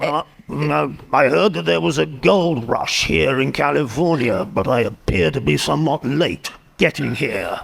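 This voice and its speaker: Delivered at a moderate pace, this put-on character voice swings very widely in pitch. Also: man, medium pitch for a man. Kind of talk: in-character improvised interview. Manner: grumpy, curt.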